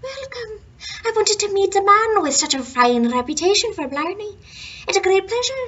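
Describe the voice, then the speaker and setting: A put-on character voice at a moderate pace. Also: woman, extremely high pitch for a woman. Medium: read story. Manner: sly, mocking.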